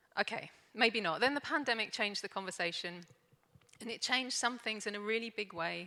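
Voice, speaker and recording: The woman's voice has a bright, sharp tone and a fairly high pitch. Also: ordinary pitch variation, fairly quick pace. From London, England. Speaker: organisational consultant, conference speaker. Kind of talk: conference talk. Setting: stage with audience.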